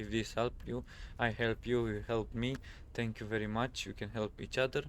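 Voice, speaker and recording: A man with a non-native accent talks at a moderate pace in a medium pitch, his intonation monotone and flat. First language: not English. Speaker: gaming youtuber. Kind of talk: tutorial. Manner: halting, many fillers.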